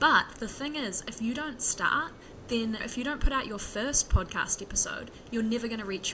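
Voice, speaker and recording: A woman speaks with a New Zealand accent at a fairly high pitch. Her pitch variation is ordinary, and there is noticeable background noise. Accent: Kiwi. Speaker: software developer, podcaster. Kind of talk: interview. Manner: fast.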